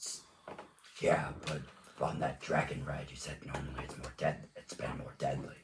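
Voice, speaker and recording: Using a put-on character voice, a man speaks at a very deep, low pitch, leaving long, frequent pauses. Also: moderate pace. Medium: actual play.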